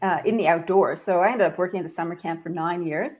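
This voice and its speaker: A woman with a Canadian accent uses an ordinary speaking voice, fairly low in pitch with fairly even intonation. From Canada. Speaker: leadership expert and author. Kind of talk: podcast interview.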